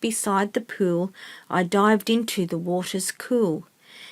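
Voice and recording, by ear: Reading aloud in a natural voice, pitch varying in an ordinary way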